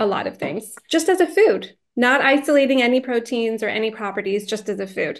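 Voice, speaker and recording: A woman's pitch varies in an ordinary way as she talks over a quiet background. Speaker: guest. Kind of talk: interview answer. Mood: warm, enthusiastic. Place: home room. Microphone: video call.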